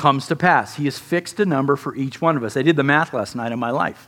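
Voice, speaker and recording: The speaker has an unremarkable speaking voice. Pitch variation is ordinary. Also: man. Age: 50s. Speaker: pastor. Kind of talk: sermon.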